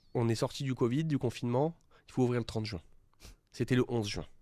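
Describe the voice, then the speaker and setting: This man's voice has a dark, mellow tone at a medium pitch. His pitch varies in an ordinary way. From French Riviera (Cannes area, Alpes-Maritimes). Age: 20s. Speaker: young entrepreneur. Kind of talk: interview. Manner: hesitant, many fillers.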